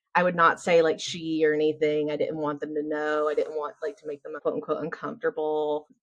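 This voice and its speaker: This is a woman speaking. Her accent is American. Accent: Southern US, strong but toned down now. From US South. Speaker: business founder and systems consultant. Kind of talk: casual interview chat. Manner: animated.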